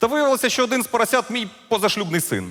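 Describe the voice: A man does a put-on character voice at an extremely high pitch with very wide pitch swings. The tone is fairly bright and the pace very fast.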